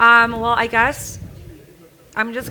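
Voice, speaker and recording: This woman talks at a fairly slow pace. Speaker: developer relations lead, panelist. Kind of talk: panel discussion. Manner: loud.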